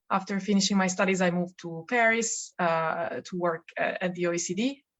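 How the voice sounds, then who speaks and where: A woman at a moderate pace with an Italian accent. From Italy. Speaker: policy researcher. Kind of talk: podcast interview.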